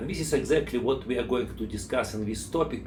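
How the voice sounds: A man with a Russian accent.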